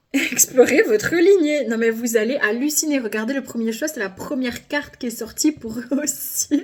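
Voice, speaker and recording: Loud and animated, a woman speaks in a high voice at a fairly slow pace with ordinary pitch variation. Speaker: tarot card reader. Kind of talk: card reading video.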